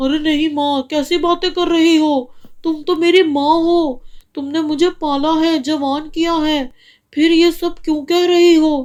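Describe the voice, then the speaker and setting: Using a cartoonish character voice, a woman speaks at an extremely high pitch and a moderate pace with monotone, flat intonation. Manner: self-centred.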